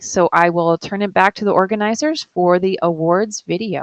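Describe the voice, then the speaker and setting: With a dry, close sound and no echo, a woman speaks in fairly even intonation. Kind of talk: live Q&A session. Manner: halting, many fillers.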